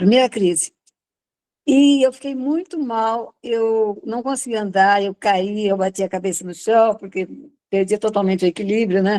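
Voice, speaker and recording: With a fairly high pitch and a dark, mellow tone, a woman speaks at a moderate pace with ordinary pitch variation and a dry, close sound with no echo. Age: 70s. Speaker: user giving health testimony. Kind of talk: testimony.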